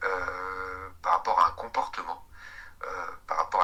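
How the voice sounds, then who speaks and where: A man speaks over noticeable background noise. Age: 50s. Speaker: recovered alcoholic sharing testimony. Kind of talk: interview testimony. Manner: hesitant, many fillers and repetitions.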